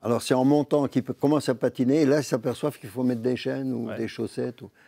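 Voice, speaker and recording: At a very fast pace, a man with a medium pitch and a dark, mellow tone keeps his intonation fairly even while his loudness swings widely, in a dry, close sound with no echo. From Vosges, Lorraine, France. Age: 80s+. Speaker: humorist, storyteller. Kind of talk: interview answer.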